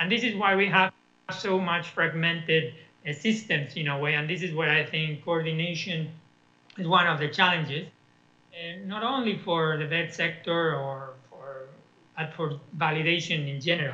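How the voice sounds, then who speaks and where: A man's high-pitched voice with audible room echo. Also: ordinary pitch variation, moderate pace. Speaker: education policy expert. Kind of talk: conference talk. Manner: hesitant, many fillers.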